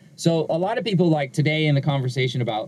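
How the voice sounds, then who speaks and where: This voice has a dark, mellow tone, somewhat breathy, with an American accent. The intonation is lively and the pace fairly quick. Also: man. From Southern California, Inglewood. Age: 40s. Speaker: pastor. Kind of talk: interview conversation.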